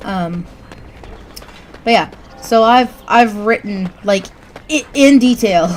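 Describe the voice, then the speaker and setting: With a Southern US accent, a woman speaks at a very slow pace and fairly high pitch, using ordinary pitch variation and long, frequent pauses over noticeable background noise. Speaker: gaming streamer. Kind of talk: gameplay commentary.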